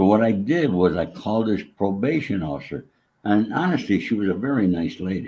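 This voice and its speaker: In an American accent, a man speaks at a fairly quick pace with lively intonation, a fairly low pitch and a dark, mellow tone. The background is quiet. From New York State. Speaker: former mobster in recovery. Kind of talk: interview storytelling. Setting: live online interview.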